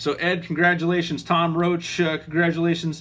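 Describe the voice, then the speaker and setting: A man mumbles. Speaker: aviation channel host, pilot. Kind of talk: casual live stream chat. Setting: live video stream. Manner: mumbling, halting with many fillers.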